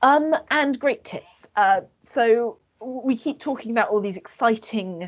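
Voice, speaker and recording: With lively intonation, a woman is speaking. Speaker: student society presenter. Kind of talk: lecture. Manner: halting.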